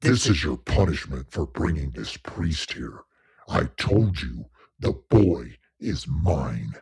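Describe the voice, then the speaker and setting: A shouting put-on character voice at a fairly slow pace. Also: man, very deep, low pitch for a man. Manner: shouting, menacing.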